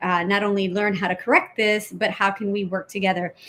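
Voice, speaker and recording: A woman with a Spanish accent speaks in a monotone, flat intonation. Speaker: politician. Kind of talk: interview.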